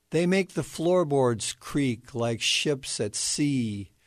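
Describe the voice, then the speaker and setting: The speaker goes at a very slow pace with a solemn tone and lively intonation over a quiet background. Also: man. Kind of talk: poetry reading, own poem read aloud. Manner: measured, solemn, contemplative.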